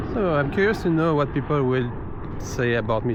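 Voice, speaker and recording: A man with a French accent at a fairly quick pace, ordinary pitch variation, audible room echo and noticeable background noise. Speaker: travel vlogger. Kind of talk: casual vlog monologue while walking. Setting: outdoors walking at night. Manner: halting.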